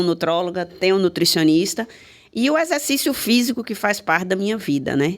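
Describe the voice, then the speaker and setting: Over a very clean, silent background, a woman with a normal speaking voice and fairly low pitch talks at a moderate pace with lively intonation. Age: 60s. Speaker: pharmacist. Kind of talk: panel discussion.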